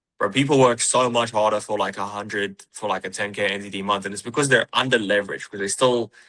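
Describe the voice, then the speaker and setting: Very rapid, nearly pause-free delivery in a New Zealand accent, bright and sharp in tone, with fairly even intonation over a quiet background. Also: man. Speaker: high-ticket sales closer. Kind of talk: interview podcast. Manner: casual, repetitive with false starts.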